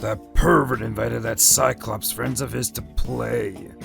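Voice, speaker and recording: The speaker uses a put-on character voice at a moderate pace. Music plays clearly in the background. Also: man. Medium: dub.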